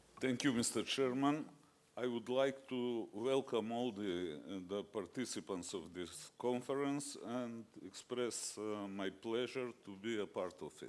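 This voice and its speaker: Speaking at a fairly slow pace, a man with a Macedonian accent uses a medium pitch and ordinary pitch variation. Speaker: judge. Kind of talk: conference talk.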